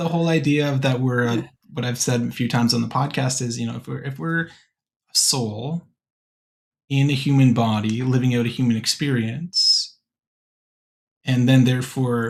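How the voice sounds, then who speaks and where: Medium-pitched male speech at a moderate pace, fairly even in intonation, with long, frequent pauses, on a very clean recording with a silent background. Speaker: podcast host, college admissions worker. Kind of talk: podcast conversation.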